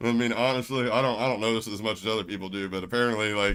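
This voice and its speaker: On a very clean recording with a silent background, a man races along very fast in an American accent. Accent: Southern US accent, noticed by others. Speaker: gaming livestreamer. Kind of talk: casual chat. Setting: livestream. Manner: animated.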